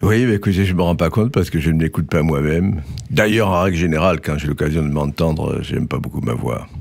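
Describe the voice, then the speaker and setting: In a slight Marseille accent, a man talks at a very fast pace with a very deep, low pitch. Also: ordinary pitch variation. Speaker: scientist and writer. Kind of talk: political talk show.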